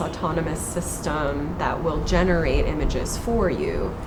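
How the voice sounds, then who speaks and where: A woman with a fairly low pitch is heard through audible room echo and noticeable background noise. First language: Hungarian. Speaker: artist and art historian. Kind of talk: interview.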